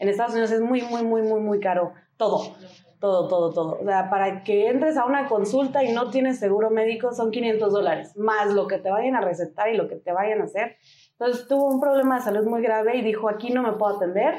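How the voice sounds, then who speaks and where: A woman speaks at a fairly quick pace with ordinary pitch variation. Her tone is dark and mellow, and her loudness stays very even. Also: fairly high pitch for a woman. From US, Denver, Colorado. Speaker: single mother and motorcyclist. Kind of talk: casual interview.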